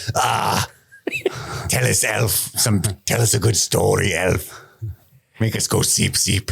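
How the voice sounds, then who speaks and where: A man performs a put-on character voice, raspy and fairly low. He speaks at a fairly slow pace with long, frequent pauses. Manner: gruff, commanding.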